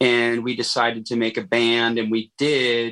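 A man's bright, sharp voice at a medium pitch, flat and monotone, over a quiet background. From Los Angeles area, California. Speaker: punk band musician. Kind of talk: interview.

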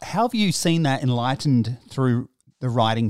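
At a moderate pace and with ordinary pitch variation, a man with an Australian accent speaks on a very clean recording with a silent background, the sound dry and close with no echo. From South Australia. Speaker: podcast host. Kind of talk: interview.

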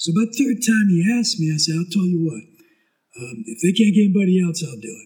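Very fast and high-pitched, a man speaks with very wide pitch swings and big swings in loudness. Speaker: high school sports announcer. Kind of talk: casual chat.

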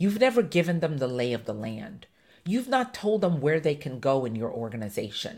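A woman's very deep, low-pitched, animated voice at a moderate pace, with very wide pitch swings. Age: 50s. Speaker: podcast host, diversity and inclusion consultant. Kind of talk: live unscripted monologue. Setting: live stream.

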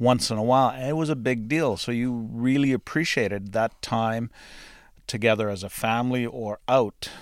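An ordinary speaking voice from a man, medium-pitched and at a moderate pace, on a very clean recording with a silent background. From Canada, northwestern Ontario farm. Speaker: farmer, host's husband. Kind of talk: casual interview. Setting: home recording studio.

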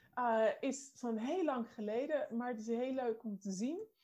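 A woman speaks at a very slow pace in a dark, mellow tone. Her pitch is fairly high, with ordinary variation. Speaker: co-host. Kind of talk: interview. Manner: excitable.

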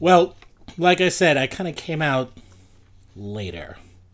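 The recording is very clean, with a silent background. A man with a New York accent talks very slowly with very wide pitch swings. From Queens, New York City. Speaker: nightlife blogger. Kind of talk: casual chat.

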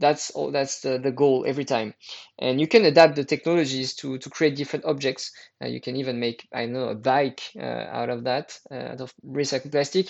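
Speaking with a French accent and vocal fry, a man keeps a moderate pace and fairly even intonation while his loudness swings widely. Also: medium pitch for a man. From France. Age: 30s. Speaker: environmental entrepreneur. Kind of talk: interview. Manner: halting.

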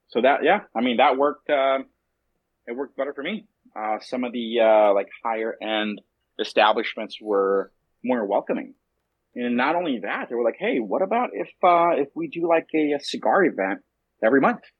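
A man with a normal speaking voice and an American accent talks at a moderate pace and medium pitch, with lively intonation. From Southern California and Mexico City. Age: 30s. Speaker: cigar company founder. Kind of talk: interview.

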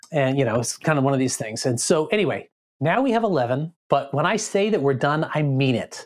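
A man has an unremarkable speaking voice with a fairly high pitch. He talks at a fairly quick pace with lively intonation. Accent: American. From Boston area, Massachusetts. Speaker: pastor. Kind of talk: casual chat.

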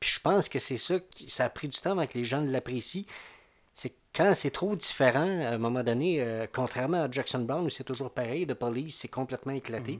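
In a very clean recording with a silent background, a man talks in a normal speaking voice at medium pitch with ordinary pitch variation. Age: 50s. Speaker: music commentator. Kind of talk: casual chat.

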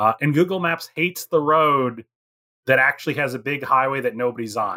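He talks at a moderate pace in a fairly high pitch with ordinary pitch variation. It is a normal speaking voice. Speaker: professor and book author. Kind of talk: casual interview chat.

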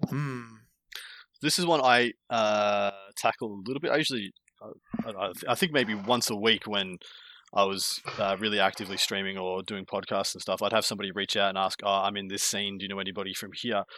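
A man with an Australian accent talks at a fairly quick pace in a bright, sharp tone. His pitch is fairly low and varies in an ordinary way. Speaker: tabletop wargaming content creator. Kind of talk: casual podcast chat.

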